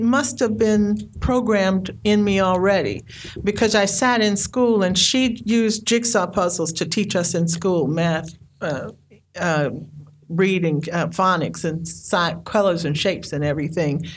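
A woman's medium-pitched voice with vocal fry and lively intonation, at a fairly slow pace, in audible room echo. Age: 60s. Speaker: storyteller and poet. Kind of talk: storytelling.

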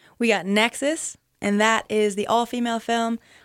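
At a fairly slow pace, an American accent comes through with fairly even intonation in a very clean recording with a silent background. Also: woman. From US East Coast (New England). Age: 20s. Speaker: professional skier. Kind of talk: casual interview. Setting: radio studio. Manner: loud.

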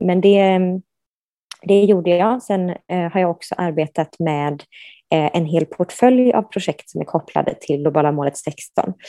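With a dark, mellow tone and a fairly low pitch, a woman speaks at a fairly slow pace with ordinary pitch variation against a quiet background. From Sweden, Gothenburg. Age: 30s. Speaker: human rights professional. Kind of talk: interview. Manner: hesitant, many fillers.

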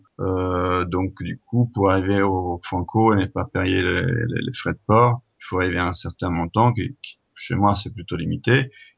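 A man's fairly low voice moves at a fairly slow pace, its pitch varying in an ordinary way. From Italy. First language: Italian (speaking French). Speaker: board game distributor, company founder. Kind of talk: interview. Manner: hesitant, many fillers and repetitions.

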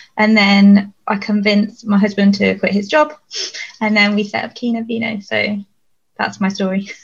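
At a moderate pace, a woman speaks in a medium pitch. Her voice is somewhat breathy and her intonation flat and monotone. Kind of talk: panel discussion.

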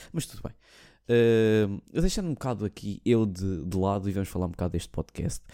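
A man with a European Portuguese accent speaks at a fairly quick pace in a fairly low pitch, with lively intonation and a dark, mellow tone. The recording is very clean, with a silent background and a dry, close sound with no echo. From Portugal. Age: 20s. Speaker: podcast host. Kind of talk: casual monologue.

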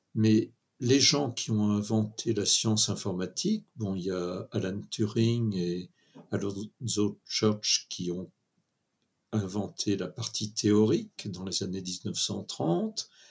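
Speaking very slowly, a man keeps his pitch variation ordinary. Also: fairly low pitch for a man. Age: 70s. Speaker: computer scientist. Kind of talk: interview. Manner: halting.

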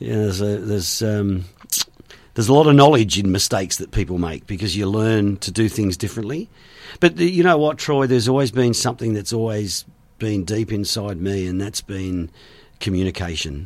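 A man with an Australian accent speaks at a fairly low pitch and a fairly quick pace. His intonation is lively, on a very clean recording with a silent background. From western Sydney, Australia. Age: 50s. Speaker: former radio DJ and tourism business owner. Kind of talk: casual interview chat. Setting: studio.

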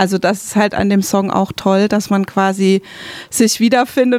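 A plain, everyday voice from a woman, fairly high in pitch, fairly even in intonation, at a moderate pace. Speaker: radio host and interviewer. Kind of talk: interview conversation. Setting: radio studio.

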